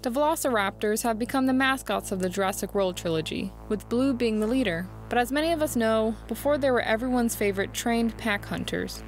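A woman speaks at a very fast pace with very even loudness. The sound is dry with no echo, and music plays in the background. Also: hardly any pauses. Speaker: video essay narrator. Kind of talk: commentary.

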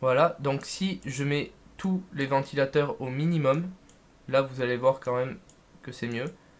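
A man at a fairly high pitch with ordinary pitch variation, at a fairly slow pace with long, frequent pauses. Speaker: tech and gaming YouTuber; gamer youtuber. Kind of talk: unboxing video. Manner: casual, hesitant with many fillers. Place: home room. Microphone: new USB condenser mic, picks up background noise; studio mic.

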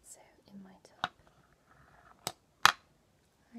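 A woman speaking over loud background noise. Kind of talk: soft-spoken roleplay, addressing viewer. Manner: soft, gentle close-up ASMR voice. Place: home room. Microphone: webcam.

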